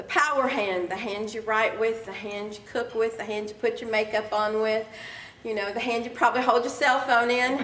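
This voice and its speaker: A woman speaks at a moderate pace with a fairly high pitch, an animated tone and big swings in loudness. Audible room echo and noticeable background noise surround her voice. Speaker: keynote speaker and life coach. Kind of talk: keynote speech. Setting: stage with audience. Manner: conversational, animated.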